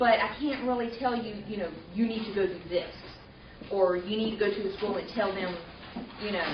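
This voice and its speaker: Against noticeable background noise and audible room echo, a woman talks at a fairly quick pace with a medium pitch and fairly even intonation, broken by long, frequent pauses. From US South, Mobile, Alabama. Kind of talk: presentation. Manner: halting, many fillers.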